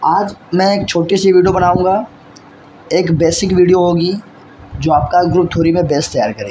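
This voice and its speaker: A man at a high pitch and fairly slow pace, amid noticeable background noise. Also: ordinary pitch variation. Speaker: maths teacher. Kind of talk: lecture. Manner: soft-spoken.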